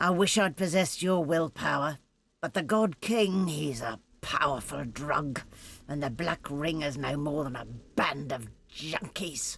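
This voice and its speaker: A put-on character voice sits at a low-to-middle pitch. Its pace is moderate. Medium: video game. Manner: bitter, cold and scheming.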